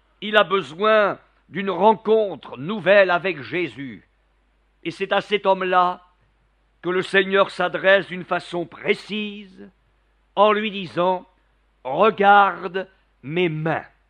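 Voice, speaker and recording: A man talks at a very slow pace with a high pitch, leaving long, frequent pauses. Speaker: preacher. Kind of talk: sermon. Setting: church. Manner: animated, fervent, persuasive; rhetorical, repeats refrain 'regarde mes mains'.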